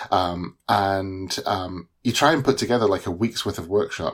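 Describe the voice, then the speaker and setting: A man with a British accent speaks at a moderate pace and a fairly low pitch in a very clean recording with a silent background. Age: 40s. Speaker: newsletter author and iOS developer. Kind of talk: casual interview. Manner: hesitant, many fillers.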